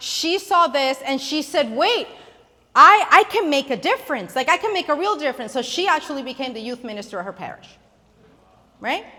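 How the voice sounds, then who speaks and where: A woman speaks at a moderate pace in a high voice. She raises and projects it. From Puerto Rico. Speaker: youth ministry speaker. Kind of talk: conference talk. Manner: loud.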